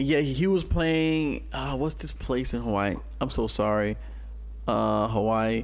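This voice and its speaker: The man's fairly slow speech carries audible room echo. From New Orleans, Louisiana. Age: 30s. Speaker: hip hop artist. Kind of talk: casual chat. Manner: animated.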